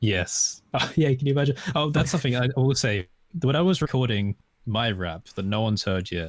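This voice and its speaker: A medium-pitched man speaks fairly quickly with lively intonation, in an Estuary accent. The recording is very clean, its background silent. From southern England, estuary English area. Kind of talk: casual chat.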